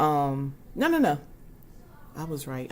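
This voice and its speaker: This woman speaks with a slight Southern US accent. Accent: slight Southern country. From US South. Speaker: lifestyle vlogger. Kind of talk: casual chat.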